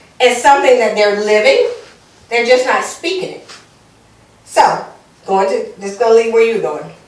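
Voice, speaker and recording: Against noticeable background noise and audible room echo, a woman talks in an animated tone with very wide pitch swings. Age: 50s. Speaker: lawyer and panel moderator. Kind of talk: panel discussion.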